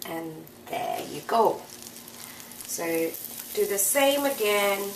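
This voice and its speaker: Noticeable background noise runs beneath a woman whose voice is fairly high. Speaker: home cook. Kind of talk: cooking tutorial.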